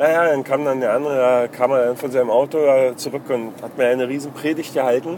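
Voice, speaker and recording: Over noticeable background noise, a man talks at a very fast pace with a medium pitch and fairly even intonation. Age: 30s. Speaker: video blogger. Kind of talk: casual monologue. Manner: halting, many fillers.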